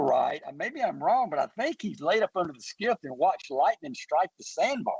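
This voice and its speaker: With a Mississippi accent, a man talks at a moderate pace. His pitch swings very widely in a dry, close sound with no echo. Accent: US Southern (Mississippi). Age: 60s. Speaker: hunting company founder. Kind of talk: radio interview. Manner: halting, repetitive.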